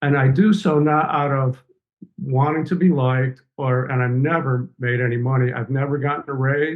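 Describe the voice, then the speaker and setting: An unremarkable speaking voice from a man, fairly high in pitch, with fairly even intonation and a moderate pace. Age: 60s. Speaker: professor and environmental justice author. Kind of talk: podcast interview.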